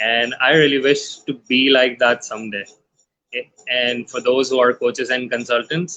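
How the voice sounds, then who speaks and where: Delivered at a moderate pace, an unremarkable speaking voice keeps a fairly even intonation. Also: man. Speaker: podcast host. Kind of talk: live show host talk.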